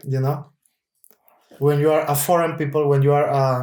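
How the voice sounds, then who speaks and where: A man with a Spanish accent, fairly high pitch, moderate pace and monotone, flat intonation. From Cuba. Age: 30s. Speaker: opera singer. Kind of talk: casual chat. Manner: halting.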